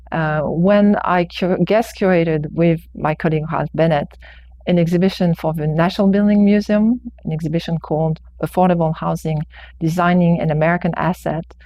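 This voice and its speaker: A woman's fairly low voice, fairly quick, with fairly even intonation. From France. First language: French. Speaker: architecture professor. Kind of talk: public testimony. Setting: planning board hearing. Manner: hesitant, many fillers.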